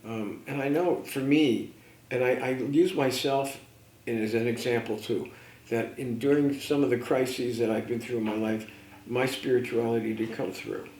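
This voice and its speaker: There is audible room echo around a man's voice. He speaks at medium pitch with fairly even intonation. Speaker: life coach and mentor. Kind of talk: radio interview conversation. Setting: radio show. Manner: fast.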